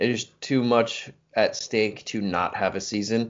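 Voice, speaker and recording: Here is a man with an ordinary speaking voice. His pitch is medium and his intonation fairly even. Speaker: podcast co-host. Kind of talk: casual chat.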